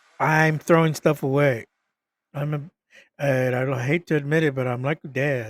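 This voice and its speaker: At a moderate pace, a man with a fairly high pitch keeps his intonation fairly even, in a dry, close sound with no echo. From US, Mexican American raised in US from age three. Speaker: podcast host. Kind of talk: casual vlog monologue. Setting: home, webcam recording. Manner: halting, many fillers and restarts.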